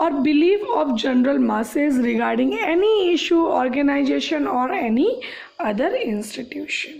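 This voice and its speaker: A woman speaks at a fairly slow pace, with audible room echo and noticeable background noise. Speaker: school teacher. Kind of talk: online class lecture. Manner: halting.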